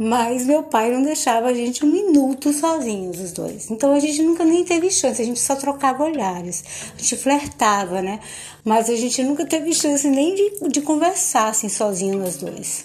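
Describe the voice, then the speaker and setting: A woman talks at a moderate pace in a high pitch with very wide pitch swings. Noticeable background noise sits behind her. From Bahia, Recôncavo Baiano, Brazil. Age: 50s. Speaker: podcaster telling her life story. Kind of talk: personal storytelling monologue.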